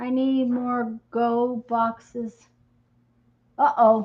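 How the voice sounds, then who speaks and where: A woman talks in a fairly high voice. Her intonation is monotone and flat. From Michigan. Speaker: crafter and video host. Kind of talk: casual live-stream chat. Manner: halting, with many fillers.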